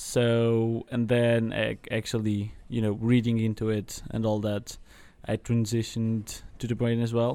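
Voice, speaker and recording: A fairly slow, dark and mellow voice with monotone, flat intonation. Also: man, medium pitch for a man. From Portuguese Atlantic islands. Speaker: university student. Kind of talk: casual chat. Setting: coffee shop. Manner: halting.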